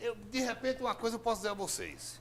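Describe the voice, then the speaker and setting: This man sounds animated, with lively intonation. His pitch sits high. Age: 60s. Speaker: politician. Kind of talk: TV interview.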